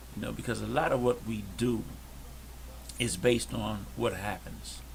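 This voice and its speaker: A soft-spoken man with an American accent, moderate pace, and audible room echo. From Detroit, Michigan. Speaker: podcast co-host. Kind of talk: casual chat. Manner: quiet.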